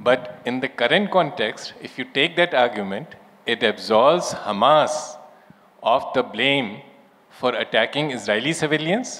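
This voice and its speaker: With an Indian accent, a man speaks at a fairly slow pace and a fairly high pitch, his intonation lively over noticeable background noise. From India, Lucknow. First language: Urdu. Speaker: former diplomat. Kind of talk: panel discussion. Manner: measured, formal.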